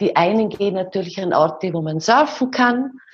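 Somewhat breathy, a woman speaks fairly slowly at a medium pitch with ordinary pitch variation. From Austria, rural. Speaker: dance teacher and author. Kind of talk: interview.

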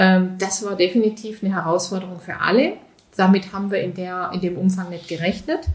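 A woman talks at a medium pitch with fairly even intonation and big swings in loudness. Noticeable background noise runs underneath. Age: 50s. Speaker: business coach and shop founder. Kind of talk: interview. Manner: many filler sounds.

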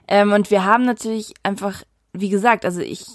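The delivery sits at an even, medium tempo. Its intonation stays flat and monotone. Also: woman. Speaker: podcast co-host. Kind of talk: casual chat.

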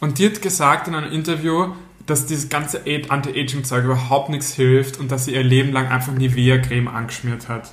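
Over noticeable background noise and audible room echo, a man speaks at a fairly high pitch. His pace is fairly quick and his intonation fairly even. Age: 30s. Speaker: podcast co-host. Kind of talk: casual chat.

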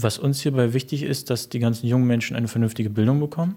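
In a very clean recording with a silent background, a man speaks at medium pitch. His tone is dark and mellow, his intonation fairly even. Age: 20s. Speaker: young local party politician and history student. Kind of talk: interview. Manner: hesitant, many filler sounds.

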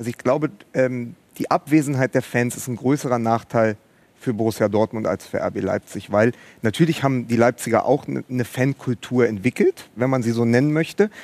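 A man talks at a fairly quick pace with medium pitch and ordinary pitch variation, in an unremarkable speaking voice. The sound is dry and close, with no echo. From Berlin, Germany. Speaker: writer and podcaster. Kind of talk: live TV talk show discussion. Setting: studio at a live event.

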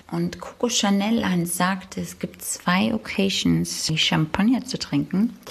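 A woman with a Thuringian accent speaks at a very slow pace. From Thuringia, Germany. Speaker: listener sending voice message. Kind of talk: voice message monologue.

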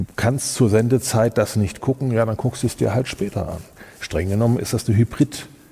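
A man speaks at a fairly quick pace in a dark, mellow tone that is somewhat breathy. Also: medium pitch for a man, ordinary pitch variation. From Germany, Kassel (northern Hesse). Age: 50s. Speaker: event technology company owner. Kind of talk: interview.

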